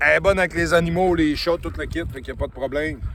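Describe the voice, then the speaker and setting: Over noticeable background noise, a man talks loudly in a high pitch with monotone, flat intonation. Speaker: dog trainer. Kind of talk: casual vlog talk. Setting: outdoors on a trail with dogs.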